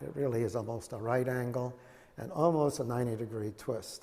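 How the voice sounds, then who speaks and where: A man speaks at medium pitch with ordinary pitch variation and vocal fry. His tone is dark and mellow. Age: 70s. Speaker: Zen teacher. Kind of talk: dharma talk with questions. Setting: meditation hall. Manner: halting, many fillers.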